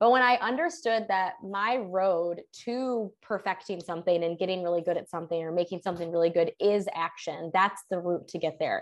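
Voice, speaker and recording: Over a quiet background, a woman with a medium pitch and a plain, everyday voice speaks at a fairly quick pace with ordinary pitch variation. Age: 20s. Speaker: human design business coach. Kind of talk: casual interview.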